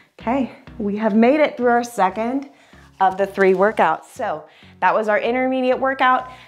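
A woman talks at a moderate pace with ordinary pitch variation as faint music plays behind her. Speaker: fitness instructor. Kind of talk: tutorial. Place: home room.

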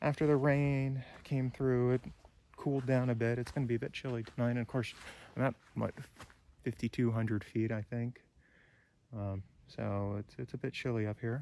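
A man's dark, mellow voice with fairly even intonation and long, frequent pauses, in a dry sound with no echo. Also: moderate pace. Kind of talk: casual vlog chat. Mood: briefly somber. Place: forest. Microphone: phone near.

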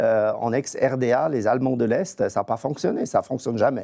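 Against a quiet background, a man speaks fairly slowly at a medium pitch with a dark, mellow tone. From eastern Switzerland near Austria. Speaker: federal price regulator; guest. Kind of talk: TV panel debate. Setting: remote video link from Bern. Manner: halting, many repetitions. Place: studio. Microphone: lapel.

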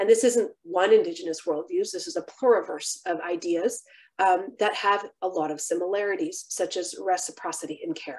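A woman with a plain, everyday voice and an American accent, medium in pitch, at a moderate pace, with lively intonation and big swings in loudness, over a quiet background. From San Francisco Bay Area, US. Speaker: physician and keynote lecturer; keynote lecturer. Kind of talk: lecture. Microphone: webcam.

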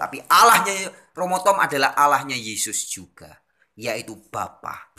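A man at a moderate pace, with very wide pitch swings, against a quiet background. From Indonesia. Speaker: religious video channel host; religious commentator. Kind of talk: lecture. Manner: formal, expository. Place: home room. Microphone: phone near.

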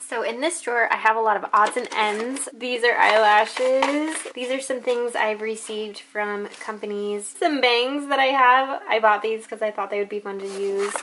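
Over light background noise, a woman talks at a moderate pace with ordinary pitch variation and hardly any pauses. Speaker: beauty vlogger. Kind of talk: casual vlog chat. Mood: cheerful, light. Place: home room. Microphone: phone near.

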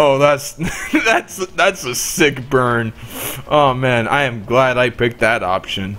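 The words are read aloud in a natural voice.

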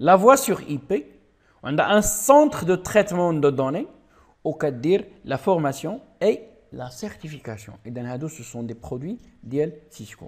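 In a very clean recording with a silent background, a man speaks at a moderate pace. His pitch swings very widely, and his loudness rises and falls sharply. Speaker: IT trainer. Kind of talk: tutorial. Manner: halting.

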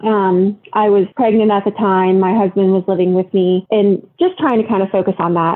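A woman talks with an American accent at a medium pitch. Her pace is moderate and her pitch variation ordinary. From US Midwest (Ohio). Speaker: podcast guest sharing ghost story. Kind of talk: casual interview, personal story. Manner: hesitant, many fillers.

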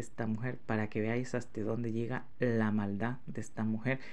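A man talks in a plain, everyday voice at a fairly slow pace. His intonation is fairly even. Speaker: YouTube channel host. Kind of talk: angry rant. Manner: indignant, fired-up, repeating rhetorical questions.

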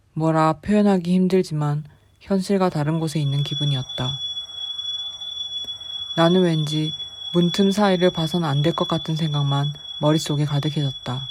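Background noise is noticeable as a woman speaks with a very deep, low pitch and a calm tone. Her pace is moderate, her intonation fairly even, and her pauses long and frequent. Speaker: amateur horror story reader. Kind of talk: horror story reading. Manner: calm, understated.

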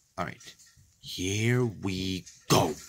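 The voice has a bright, sharp tone over a quiet background. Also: man. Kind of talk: casual vlog chat. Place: home room. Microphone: phone near.

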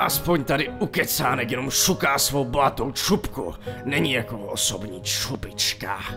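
Over loud music in the background, someone performs a cartoonish character voice. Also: man, medium pitch for a man. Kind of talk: cartoon dub dialogue. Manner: angry, contemptuous.

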